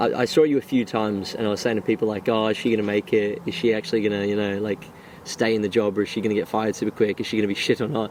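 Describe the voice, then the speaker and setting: Over noticeable background noise, a man with an Australian accent talks at a very fast pace in a fairly low voice with fairly even intonation. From Gold Coast, Australia. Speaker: friend of the host. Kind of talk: casual chat.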